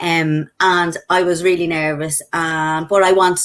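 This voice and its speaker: A woman speaks with a Dublin accent. Her pitch sits fairly low, and her intonation stays fairly even. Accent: Irish (Dublin). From Ireland, Dublin. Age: 40s. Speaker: network marketer. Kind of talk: interview testimony. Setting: live video stream.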